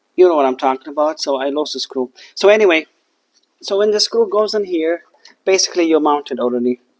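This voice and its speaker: The speaker has a non-native accent. The pace is very fast. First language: not English. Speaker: HVAC technician. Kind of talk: tutorial. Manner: halting; casual.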